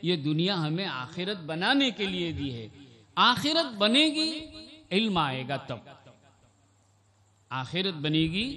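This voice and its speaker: Over noticeable background noise, a man's high-pitched voice swings very widely in pitch. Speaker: Islamic scholar, hadith teacher. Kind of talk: religious sermon (bayan) at an annual gathering. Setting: public event with PA system.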